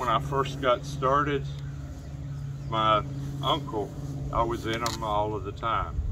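The recording is dry with no echo but has noticeable background noise, as a man speaks at a fairly slow pace. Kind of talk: casual explanation. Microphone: camera far.

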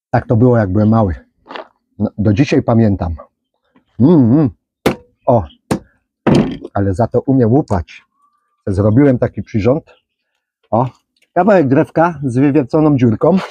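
Against noticeable background noise, a man speaks with lively intonation at a moderate pace, leaving long, frequent pauses, in a dry sound with no echo. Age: old. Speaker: vlogger and gardener; rabbit keeper. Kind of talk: casual vlog monologue; storytelling. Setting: outdoors in a garden. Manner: casual, chatty. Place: garden.

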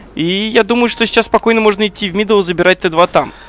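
Recorded with a dry, close sound and no echo, a man speaks very fast against noticeable background noise. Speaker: esports commentator. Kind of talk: live commentary.

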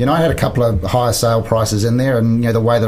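Speaking at a very fast pace, a man uses a medium pitch. Noticeable background noise and audible room echo fill the recording. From New Zealand. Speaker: business coach and former real estate CEO. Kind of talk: interview.

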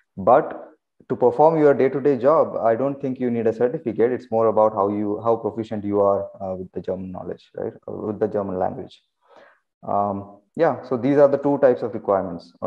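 A man with an Indian accent at a fairly quick pace, with ordinary pitch variation. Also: medium pitch for a man, quiet background. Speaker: engineering manager and career advice channel host. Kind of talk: online community Q&A meeting. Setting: video call. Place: home room. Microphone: video call.

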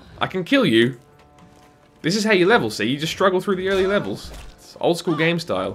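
Music plays in the background as a man speaks. His pitch is high and swings very widely. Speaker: let's play gamer. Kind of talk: casual gameplay commentary.

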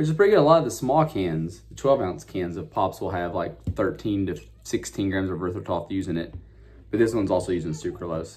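A man speaks at a fairly quick pace with a very deep, low pitch. His voice is somewhat breathy, with very wide pitch swings. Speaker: drink reviewer. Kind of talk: casual vlog chat. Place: home room. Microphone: phone near.

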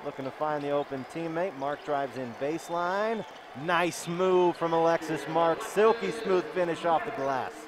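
A man with a fairly high pitch, ordinary pitch variation and a fairly slow pace, crowd noise behind him. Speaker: sports commentator. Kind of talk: live commentary.

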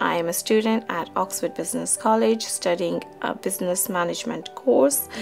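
A woman at a moderate pace with hardly any pauses, faint music in the background. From Pakistan. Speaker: business management student. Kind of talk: interview answer. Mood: calm, reflective. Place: home room.

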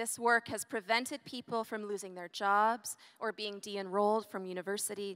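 At a moderate pace, a woman talks with fairly even intonation against a quiet background. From Canada. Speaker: ethics scholar and event host. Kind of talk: formal introduction. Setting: stage with audience. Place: stage. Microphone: handheld.

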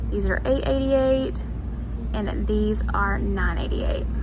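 Over noticeable background noise, a woman with a very deep, low pitch speaks at a fairly slow pace in a monotone, flat intonation. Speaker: lifestyle vlogger. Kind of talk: casual shop-with-me commentary. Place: shop. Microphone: phone near.

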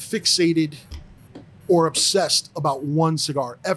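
Over music in the background, a man with a fairly high pitch speaks with ordinary pitch variation. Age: 50s. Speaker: cigar accessory sales director. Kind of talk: casual interview. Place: studio. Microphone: studio mic.

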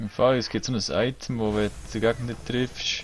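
Monotone and flat, a man with a Swiss German accent talks at a fairly quick pace. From Switzerland. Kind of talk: casual let's play gaming talk.

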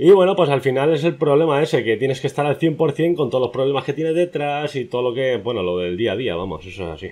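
Talking very fast, a man with a fairly high pitch and a dark, mellow tone uses lively intonation. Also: hardly any pauses. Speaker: youtuber, interviewer. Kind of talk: interview.

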